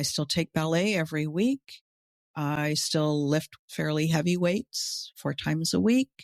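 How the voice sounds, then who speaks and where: A woman's very deep, low pitch with lively intonation at a fairly slow pace, on a very clean recording with a silent background and a dry, close sound with no echo. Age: 60s. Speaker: business coach for coaches. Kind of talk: casual chat.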